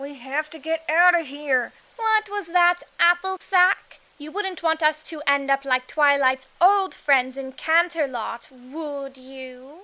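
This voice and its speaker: A woman's high-pitched, cartoonish character voice at a fairly slow pace. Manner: theatrical.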